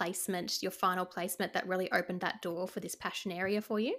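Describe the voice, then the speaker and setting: A woman with an Australian accent talks at a very fast pace and a medium pitch on a very clean recording with a silent background. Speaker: podcast host, speech pathologist. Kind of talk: casual interview chat.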